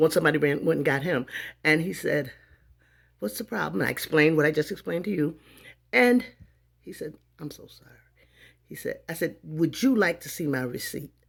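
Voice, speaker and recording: A woman with a very deep, low pitch talks at a fairly quick pace, taking long, frequent pauses. Her tone is animated, with very wide pitch swings and big swings in loudness. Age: 50s. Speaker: vlogger. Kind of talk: storytelling monologue.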